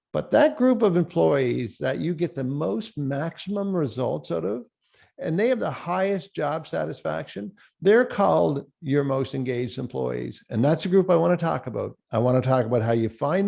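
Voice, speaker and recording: A dark, mellow tone with a Cape Breton accent moves at a moderate pace through very wide pitch swings. The background is quiet. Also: man. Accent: Cape Breton Canadian. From Cape Breton, Nova Scotia, Canada. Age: 60s. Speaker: professional speaker. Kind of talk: keynote presentation. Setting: virtual forum. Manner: animated.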